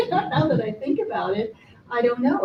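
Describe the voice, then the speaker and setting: A woman speaks at a fairly quick pace and fairly high pitch, swinging very widely in pitch, with noticeable background noise behind her. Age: 70s. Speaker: audience member at film festival. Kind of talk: group discussion. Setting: public library screening with audience.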